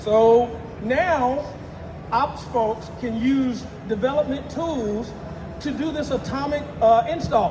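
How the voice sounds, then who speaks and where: Amid noticeable background noise and audible room echo, a man speaks with an extremely high pitch. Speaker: IT engineer presenting at a tech conference. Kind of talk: conference talk.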